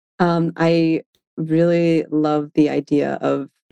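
The recording is dry and close with no echo, carrying a woman's fairly low voice in a dark, mellow tone. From Maine (Auburn). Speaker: fashion technology company co-founder. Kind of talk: interview.

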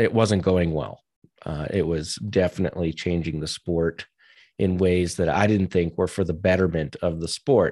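A man with an American accent speaks in a very deep, low voice with a dark, mellow tone and fairly even intonation. The recording is very clean with a silent background and has a dry, close sound with no echo. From US Northeast, New Hampshire. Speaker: ultrarunning race director. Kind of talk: podcast interview.

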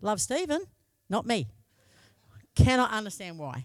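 Speaking at a moderate pace with an Australian accent, a woman swings very widely in pitch on a very clean recording with a silent background. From Australia, Broken Hill. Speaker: lay preacher. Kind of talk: sermon. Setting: church.

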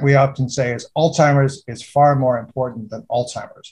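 A man with a fairly high pitch and a somewhat breathy sound speaks at a moderate pace. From United Kingdom. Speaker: geriatric neurologist and author. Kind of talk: interview.

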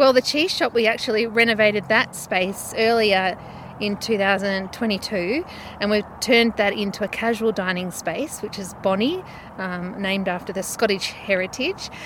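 Noticeable background noise sits behind a woman with an Australian accent. Her pitch is medium with ordinary variation, and her pace is moderate. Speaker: winery owner. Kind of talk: casual interview.

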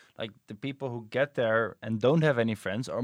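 At a fairly quick pace, a man with a Dutch accent talks at medium pitch with fairly even intonation, in a dry, close sound with no echo. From Netherlands. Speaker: podcast host, PhD researcher. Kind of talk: casual chat.

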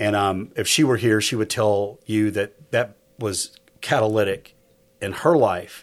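In a normal speaking voice, a man talks at a fairly slow pace with a fairly low pitch and fairly even intonation. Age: 50s. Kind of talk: casual chat.

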